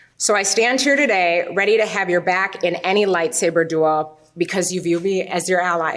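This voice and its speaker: A woman at medium pitch and a moderate pace, with ordinary pitch variation, very even loudness and hardly any pauses, amid noticeable background noise. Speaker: bride. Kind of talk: wedding vows. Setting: wedding ceremony.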